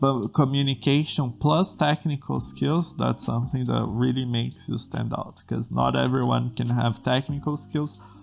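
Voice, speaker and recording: With a Portuguese accent, the speaker keeps a moderate pace with hardly any pauses over noticeable background noise. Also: man. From Brazil. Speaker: programming tutor and podcast host. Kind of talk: solo podcast monologue. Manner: halting with self-corrections.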